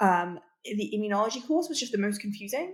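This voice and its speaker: In a British accent, a woman speaks at a fairly quick pace and a medium pitch. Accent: somewhat British. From Russia. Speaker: PhD student in immunology. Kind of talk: interview. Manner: hesitant, many fillers.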